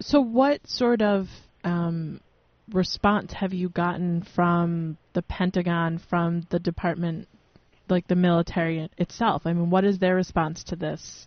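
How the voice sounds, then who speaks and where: A woman speaks in a plain, everyday voice at a fairly low pitch. Her pace is fairly slow, with ordinary pitch variation. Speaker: radio co-host. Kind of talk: casual chat. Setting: studio.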